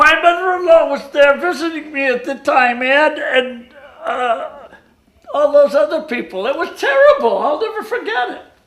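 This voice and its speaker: A high-pitched, put-on character voice. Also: moderate pace. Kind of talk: 1950s radio comedy sketch. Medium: stage play. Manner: deadpan, repetitive.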